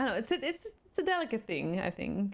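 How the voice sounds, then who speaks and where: A woman with a Dutch accent talks at a moderate pace in a high voice with very wide pitch swings. Noticeable noise fills the background. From Netherlands. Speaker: streamer. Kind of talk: casual chat. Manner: halting, many fillers.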